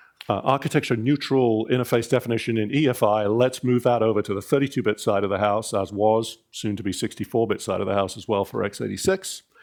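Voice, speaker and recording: A man speaks at a very fast pace with hardly any pauses, in a British accent, at medium pitch with ordinary pitch variation, over a quiet background. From Britain. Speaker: industry consortium president, engineer. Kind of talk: conference keynote. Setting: conference stage with audience, PA. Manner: conversational, with frequent fillers.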